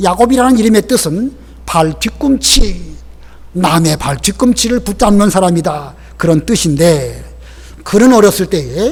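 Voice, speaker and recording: Noticeable background noise behind a man talking in a high register. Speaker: pastor. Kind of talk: sermon.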